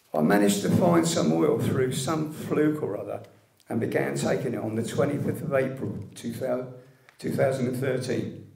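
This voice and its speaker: At a medium pitch and moderate pace, a man speaks against noticeable background noise. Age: 60s. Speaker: liver cancer patient, medical cannabis activist. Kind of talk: public speech at an event. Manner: reading from a script.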